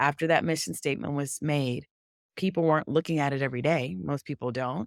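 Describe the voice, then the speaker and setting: A woman speaks at a very deep, low pitch with vocal fry and a fairly quick pace. The recording is very clean and dry, close with no echo and a silent background. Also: ordinary pitch variation. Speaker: DEI consultant, company founder. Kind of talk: podcast interview.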